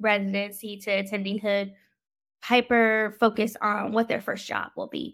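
A woman with a fairly high pitch speaks in an American accent. Her moderately paced delivery is monotone and flat. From Washington DC metro area, US. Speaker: physician. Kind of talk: interview.

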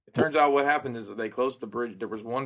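A very fast pace with ordinary pitch variation. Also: man. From Alabama. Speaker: collectibles podcaster. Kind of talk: casual chat.

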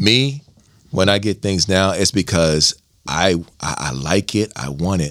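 Lively intonation in a male voice. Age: 40s. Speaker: transformers collector and podcaster. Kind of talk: casual chat. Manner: loud.

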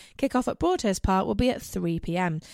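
A woman talks in an ordinary speaking voice at a moderate pace with lively intonation, on a very clean recording with a silent background. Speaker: radio host. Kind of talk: scripted radio show presentation. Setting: radio studio.

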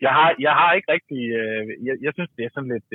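A man speaks with ordinary pitch variation. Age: 40s. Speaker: caller. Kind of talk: casual chat.

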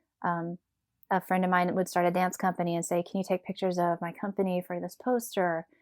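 A calm, fairly quick woman's voice with an American accent, medium in pitch and monotone, flat in intonation, on a very clean recording with a silent background and a dry, close sound with no echo. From US South, Tennessee. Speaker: professional dancer. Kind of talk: casual interview. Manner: calm, even-keeled.

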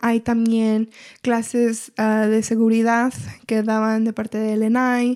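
In a very clean recording with a silent background, a woman speaks at a fairly slow pace and a fairly high pitch. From Washington State, US (Everett). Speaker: community health coordinator. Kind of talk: casual interview.

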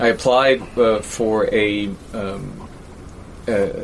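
A man with a New York accent and fairly even intonation, over noticeable background noise. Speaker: university professor. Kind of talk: interview.

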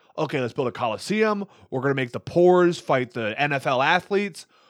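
A man talks fairly quickly in a plain, everyday voice with an American accent. His intonation is lively over a quiet background. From US Midwest, Wisconsin. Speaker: stand-up comedian, military service member. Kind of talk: casual chat.

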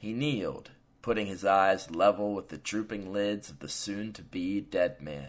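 Someone reads aloud, and the voice sounds natural.

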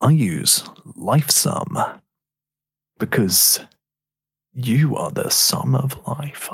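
Someone does a put-on character voice at a very slow pace, with long, frequent pauses. The pitch sits low to middle. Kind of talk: serious, announcer-like. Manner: solemn, serious.

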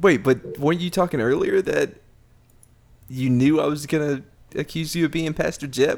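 With long, frequent pauses, a man speaks at a moderate pace in a fairly high pitch and fairly even intonation. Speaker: podcast co-host. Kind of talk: casual chat. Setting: remote call.

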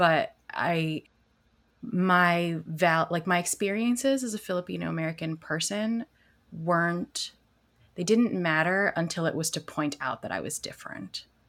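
This woman has an ordinary speaking voice, fairly low in pitch, with ordinary pitch variation and a fairly slow pace. The recording is very clean, with a silent background. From Chicago suburbs. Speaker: podcast co-host, lawyer. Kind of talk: casual chat.

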